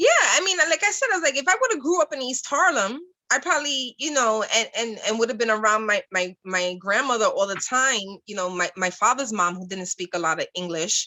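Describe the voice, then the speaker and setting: Her pitch high and swinging very widely, a woman talks at a fairly quick pace. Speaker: podcast co-host. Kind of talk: casual chat.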